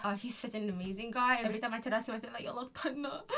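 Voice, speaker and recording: A woman talks in a Malaysian accent with a fairly high pitch and ordinary pitch variation. Noticeable background noise runs behind her. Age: 20s. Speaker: vlogger. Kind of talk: casual vlog monologue, code-switching Malay and English.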